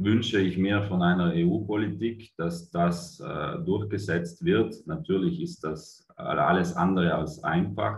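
Speaking very slowly yet with hardly any pauses, a man uses a very deep, low pitch, a somewhat breathy voice and ordinary pitch variation, with audible room echo around him. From Italy. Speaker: cooperative managing director. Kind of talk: conference presentation. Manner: hesitant, many fillers. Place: home room. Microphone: webcam.

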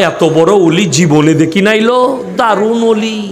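Noticeable background noise runs behind this man's voice. His pitch varies in an ordinary way. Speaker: preacher. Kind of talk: sermon. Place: stage. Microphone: podium.

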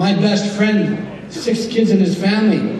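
A man talks with audible room echo around him and light background noise underneath. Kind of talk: convention speech. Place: hall. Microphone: podium.

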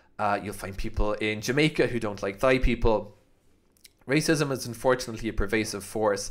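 Speaking with a Cork accent, a man moves at a fairly quick pace with ordinary pitch variation over a quiet background. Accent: Irish (Cork). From Ireland. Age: 30s. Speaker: YouTuber. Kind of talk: vlog monologue. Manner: casual, hesitant with fillers. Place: home room. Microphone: studio mic.

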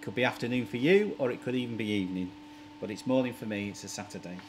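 A man rattles off his words at a very fast pace while noticeable background noise carries on. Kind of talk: casual DIY vlog tutorial. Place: workshop.

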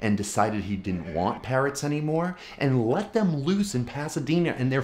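Over light background noise, a man's voice makes very wide pitch swings. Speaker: comedian. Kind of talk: casual vlog chat. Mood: wry, self-deprecating. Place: home room.

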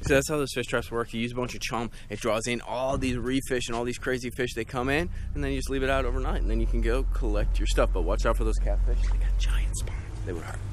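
A man talks at a very fast pace, the sound dry with no echo and noticeable background noise behind him. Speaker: fishing vlogger. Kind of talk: casual vlog chat. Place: boat. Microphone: phone near.

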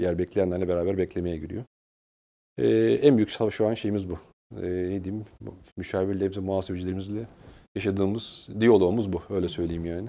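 A man speaks in a very deep, low voice with a dark, mellow tone and ordinary pitch variation. His pace is fairly quick, broken by long, frequent pauses. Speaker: human resources director; guest. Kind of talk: interview. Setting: studio. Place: studio. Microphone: lapel.

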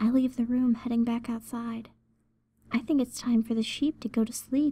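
A woman with a fairly high pitch speaks in a cheerful tone that is also dark and mellow. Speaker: ASMR storyteller. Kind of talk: whispered first-person horror story narration, ASMR creepypasta. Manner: soft, hushed whispering close to the mic; sweetly doting tone turning eerily cheerful at gory reveal.

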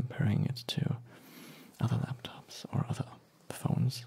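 A man talks in a relaxed, soft-spoken way. His intonation is fairly even. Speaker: ASMR creator. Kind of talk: ASMR unboxing, softly spoken talk. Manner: soft-spoken, relaxed.

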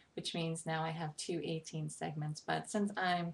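Speaking at a moderate pace with an American accent, a woman has a fairly low, somewhat breathy voice and monotone, flat intonation. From New York, Brooklyn. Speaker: poetry vlogger. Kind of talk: casual talk to camera, informal intro. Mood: friendly, slightly sheepish. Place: home room. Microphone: webcam.

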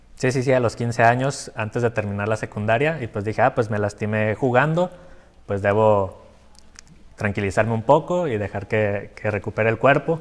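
Fairly quick delivery with ordinary pitch variation. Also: man. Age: 20s. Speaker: patient with chronic illness; interview guest. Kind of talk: interview. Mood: reflective, personal story. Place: studio. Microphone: lapel.

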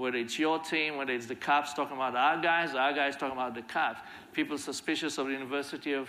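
This man has a fairly high pitch and a bright, sharp tone. His intonation stays fairly even. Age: 50s. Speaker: violence prevention leader; conference speaker. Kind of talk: conference talk. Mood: earnest, reflective. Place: stage. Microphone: lapel.

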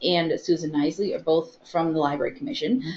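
A woman with an American accent talks in an ordinary speaking voice. Her fairly low voice carries lively intonation. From US Midwest. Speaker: library webinar host. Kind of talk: live webinar. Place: meeting room.

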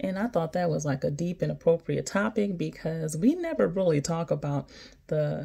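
A woman talks at a moderate pace with a quiet background. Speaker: physician assistant vlogger. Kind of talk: casual vlog chat. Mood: encouraging, warm. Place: home room. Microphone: phone near.

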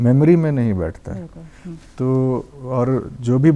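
The speaker is a man with a medium pitch. Ordinary variation marks his pitch. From Jharkhand, Lohardaga; Jharkhand. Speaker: filmmaker; talk show guest. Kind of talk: interview. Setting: studio. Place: studio. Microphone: lapel.

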